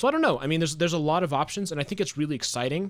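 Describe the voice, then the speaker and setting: The recording is very clean, and the background is silent. A man speaks. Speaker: Minecraft content creator and streamer. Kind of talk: casual live stream chat while gaming. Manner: stutters over words, halting when live.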